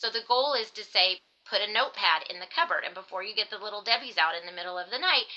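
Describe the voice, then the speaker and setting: Over noticeable background noise, a woman of medium pitch speaks at a very fast pace with lively intonation. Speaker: dietitian, eating disorder specialist. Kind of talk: podcast interview.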